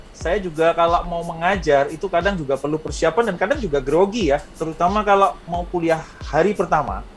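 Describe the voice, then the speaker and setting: A man with a strong Indonesian accent at a high pitch, fairly quick with hardly any pauses, ordinary pitch variation, and music in the background. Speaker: university lecturer and author. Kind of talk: interview.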